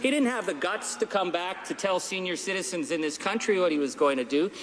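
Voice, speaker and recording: A man's speech unfolds at a moderate rate, with noticeable noise in the background. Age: 50s. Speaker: politician. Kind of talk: parliamentary speech. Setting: parliament chamber. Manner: animated.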